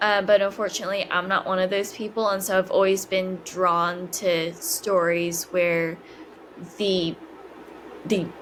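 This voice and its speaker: Against noticeable background noise, a woman speaks fairly slowly at a medium pitch with monotone, flat intonation. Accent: American. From California, US. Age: 20s. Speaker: podcast guest sharing life story. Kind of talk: casual interview, personal testimony. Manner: hesitant, many fillers.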